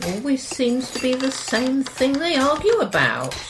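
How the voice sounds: Faint background noise sits under a put-on character voice that moves at a fairly slow pace with big pitch swings. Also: woman, high pitch for a woman.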